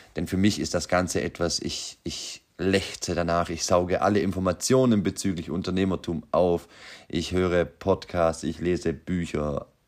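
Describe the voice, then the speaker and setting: In a very clean recording with a silent background, a man talks at a fairly slow pace in a very deep, low voice with ordinary pitch variation. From Austria, Vorarlberg. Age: 30s. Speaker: podcast host, aspiring entrepreneur. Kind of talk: unscripted monologue. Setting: home workshop.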